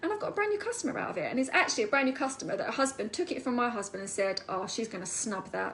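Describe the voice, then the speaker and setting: With an Essex accent, a woman sounds animated as she speaks at a very fast pace. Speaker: network marketing seller. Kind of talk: live stream talk. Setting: online live video.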